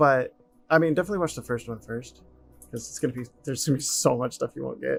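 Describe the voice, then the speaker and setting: Over music in the background, a man mumbles at a very fast pace with big swings in loudness. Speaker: 3D environment artist. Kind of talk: casual chat. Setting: live stream. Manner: mumbling; laid back.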